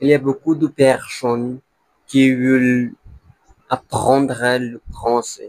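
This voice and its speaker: The delivery is very slow and monotone, with flat intonation. Long, frequent pauses break it up, and the sound is dry and close with no echo. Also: man, medium pitch for a man. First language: not French (learner) (speaking French). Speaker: language learner vlogger. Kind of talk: casual vlog monologue. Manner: halting, with false starts.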